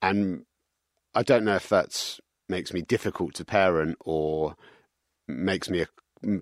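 In a very deep, low voice, a man speaks with a London accent and ordinary pitch variation. The sound is dry and close with no echo, and the recording is very clean over a silent background. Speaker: business executive. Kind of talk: interview.

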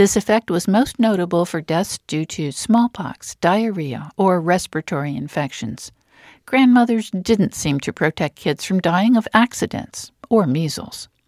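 A woman talks at a fairly slow pace and medium pitch with lively intonation, in an ordinary speaking voice. The recording is very clean with a silent background. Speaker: radio host. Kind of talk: interview.

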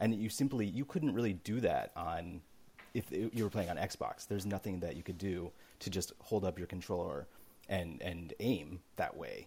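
This man has a fairly low pitch and a dark, mellow tone that is somewhat breathy. He talks at a moderate pace with ordinary pitch variation. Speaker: games journalist. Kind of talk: casual chat.

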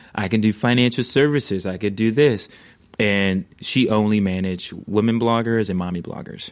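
An ordinary speaking voice from a man, fairly low in pitch, at a moderate pace with fairly even intonation. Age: 30s. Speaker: venture investor and content creator. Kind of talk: casual chat. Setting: studio.

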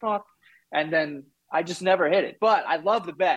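Speaking at a fairly quick pace, a man with a New York accent uses a high pitch. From New York, Queens. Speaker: podcaster, guest. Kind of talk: casual chat.

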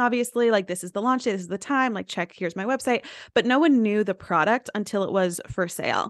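Fairly high female voice in an American accent, very fast with lively intonation, dry and close with no echo. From US South, East Tennessee. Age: 20s. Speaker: influencer and entrepreneur. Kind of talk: casual interview chat.

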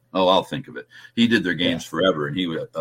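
A man talks with an American accent, his pitch swinging very widely. The recording is very clean, with a silent background. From New Jersey. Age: 70s. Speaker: sports broadcaster. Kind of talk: casual interview.

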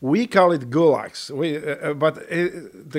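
Here a man speaks with a Polish accent. His pitch variation is ordinary. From Poland. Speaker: war veteran. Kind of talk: casual chat. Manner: halting.

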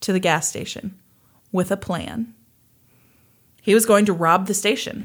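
A woman of medium pitch with an American accent, a moderate pace, and a very clean recording with a silent background. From US Midwest, Kansas. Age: 30s. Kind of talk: casual storytelling chat.

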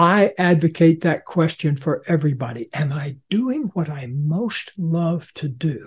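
An ordinary speaking voice from a man with an American accent, fairly high in pitch with ordinary pitch variation, at a fairly slow pace with hardly any pauses. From central Florida, US. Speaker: author and psychologist. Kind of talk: interview conversation.

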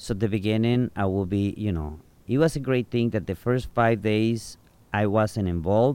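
A man with a Mexican accent speaks in a dark, mellow tone at a fairly low pitch. The recording is very clean, with a silent background. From Mexico, Nayarit. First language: Spanish. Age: 40s. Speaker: bartender and tour guide. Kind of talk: casual interview. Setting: outdoors on a rooftop.

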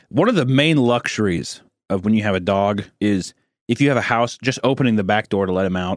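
An unremarkable speaking voice comes at a moderate pace with ordinary pitch variation, recorded very cleanly against a silent background with a dry, close sound and no echo. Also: man. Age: 20s. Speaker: podcast co-host. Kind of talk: casual chat.

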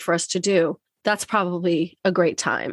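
A woman speaks in an animated tone, the sound dry and close with no echo. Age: 50s. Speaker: podcast host and divorce coach. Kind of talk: solo monologue intro; interview. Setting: home podcast studio. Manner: animated, laughs often.

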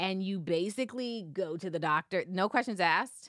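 This woman has a normal speaking voice pitched in the medium range. She keeps a moderate pace with ordinary pitch variation. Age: 30s. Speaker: podcast co-host. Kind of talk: casual chat.

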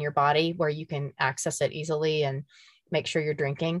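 This is an ordinary speaking voice, a woman's, fairly low in pitch and with an American accent. She talks at a fairly quick pace, and the sound is dry and close with no echo. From Emporia, Kansas. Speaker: podcast co-creator and gravel cyclist. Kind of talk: casual interview chat.

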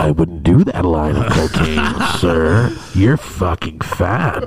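A man speaks in a put-on character voice with a very deep, low pitch. His pace is fairly slow, and loud background noise runs underneath. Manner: booming, commanding, mock-authoritative.

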